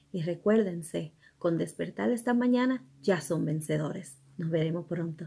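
A woman with an American accent speaks fairly quickly at a fairly low pitch, with lively intonation. Her tone is dark and mellow and somewhat breathy. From New York. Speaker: ESL teacher. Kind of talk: casual bilingual self-introduction to camera. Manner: upbeat. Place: home room. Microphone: phone near.

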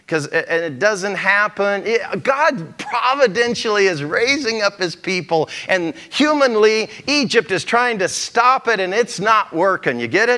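A man talks in a raised, projected voice at a high pitch with lively intonation. His pace is fairly slow. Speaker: pastor. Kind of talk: sermon. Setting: church. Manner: conversational, folksy. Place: church. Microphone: lapel.

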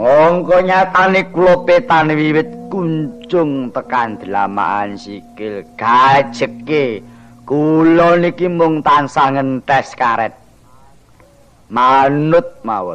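A cartoonish character voice moves at a very slow pace with faint music in the background. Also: man, fairly high pitch for a man. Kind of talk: comic shadow-puppet interlude. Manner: whining, self-pitying, rambling.

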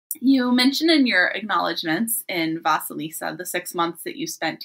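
Over a silent background on a very clean recording, a woman speaks at a moderate pace. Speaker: podcast host. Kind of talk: interview.

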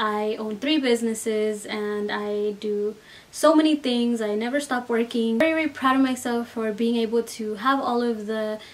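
Speaking at a moderate pace, a woman keeps her intonation fairly even and hardly pauses at all. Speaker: beauty vlogger. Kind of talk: casual vlog chat. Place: home room.

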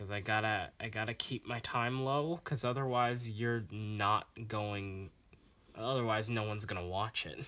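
A man with a fairly low pitch and a bright, sharp tone speaks at a moderate pace with ordinary pitch variation. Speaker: drawing channel creator. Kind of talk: casual drawing tutorial vlog. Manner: rambling, animated. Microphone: phone near.

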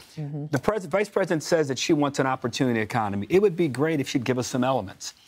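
A man in an American accent, very fast, with lively intonation and a quiet background. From US South, Memphis; Tennessee. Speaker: political commentator. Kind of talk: panel discussion. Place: studio. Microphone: lapel.

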